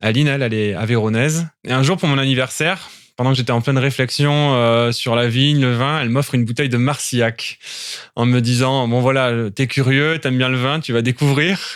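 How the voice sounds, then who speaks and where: Delivered at a fairly quick pace with fairly even intonation, the speech sits on a very clean recording with a silent background. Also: man. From southern France (Toulon). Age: 30s. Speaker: winegrower. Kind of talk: interview. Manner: hesitant, many fillers.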